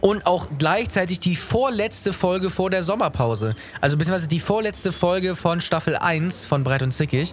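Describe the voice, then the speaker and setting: Lively intonation at a moderate pace, very even loudness, hardly any pauses, and music in the background. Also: man, high pitch for a man. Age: young. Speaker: podcast host and musician. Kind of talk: casual chat.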